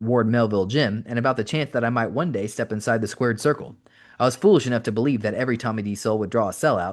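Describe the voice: Plain reading aloud with ordinary pitch variation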